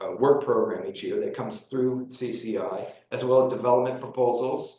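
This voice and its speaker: A man at a moderate pace, with audible room echo. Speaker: county staff presenter. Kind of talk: public meeting presentation. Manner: halting with many fillers.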